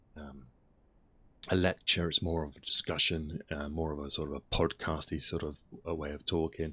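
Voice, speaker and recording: A man's very deep, low voice with a bright, sharp tone and monotone, flat intonation. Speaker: history streamer. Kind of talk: casual chat. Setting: live stream. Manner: slow; halting.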